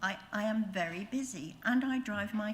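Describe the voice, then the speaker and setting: Somewhat breathy and medium in pitch, a woman talks with ordinary pitch variation as audible room echo surrounds her. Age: 70s. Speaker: public speaker at planning meeting, retirement home resident. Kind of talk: public address at council meeting. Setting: council meeting. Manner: halting.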